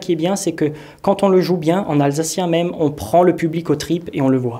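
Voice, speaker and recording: Noticeable background noise behind a man's moderately paced talk. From Alsace, France. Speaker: Alsatian language advocate and amateur actor. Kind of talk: interview monologue.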